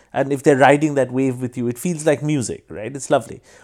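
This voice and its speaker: Over a very clean recording with a silent background, a man talks at a very fast pace with fairly even intonation. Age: 40s. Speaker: stand-up comedian. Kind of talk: casual interview chat. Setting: studio.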